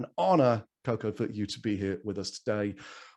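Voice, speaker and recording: The background stays quiet as a man speaks in a medium pitch. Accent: English. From England. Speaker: event host. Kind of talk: event introductions.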